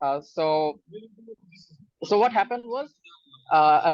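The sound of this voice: The speaker is a man with a fairly high pitch. He goes at a fairly slow pace.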